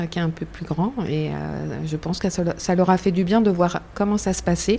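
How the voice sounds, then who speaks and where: A woman has a normal speaking voice at a medium pitch with ordinary pitch variation. She talks at a moderate pace. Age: 50s. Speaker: cancer patient, association member. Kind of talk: testimony.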